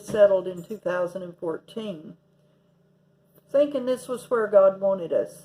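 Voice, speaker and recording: The speaker has an East Tennessee accent and ordinary pitch variation. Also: woman. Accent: Southern US (East Tennessee). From US South, Tennessee. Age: 60s. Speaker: vlogger. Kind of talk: casual vlog monologue. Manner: halting, many fillers.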